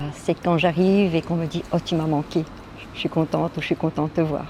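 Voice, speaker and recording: A woman speaks with a very deep, low pitch in a flat monotone. Background noise is noticeable. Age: 60s. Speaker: social home help worker. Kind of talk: interview testimony. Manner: halting.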